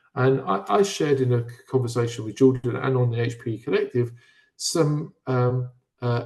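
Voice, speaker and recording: Speaking with a British accent, a man uses a medium pitch, ordinary pitch variation, a moderate pace and a somewhat breathy delivery. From Britain. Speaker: physical education speaker. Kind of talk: webinar discussion. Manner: halting, with frequent fillers and repeats.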